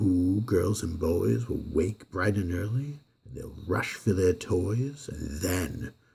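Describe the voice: Ordinary pitch variation in plain reading aloud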